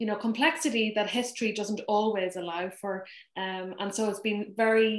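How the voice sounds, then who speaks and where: Ordinary pitch variation with a Donegal accent. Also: woman, medium pitch for a woman, moderate pace. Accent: Irish, Donegal. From Ireland (Donegal). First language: Irish Gaelic. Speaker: poet. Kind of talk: conversation between poets.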